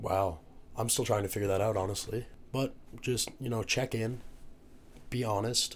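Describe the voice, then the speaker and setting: A man's somewhat breathy, medium-pitched voice with fairly even intonation and long, frequent pauses. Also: moderate pace. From Newfoundland, Canada. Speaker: university student, rugby player. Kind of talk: casual podcast interview. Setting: podcast recording, drinking margaritas.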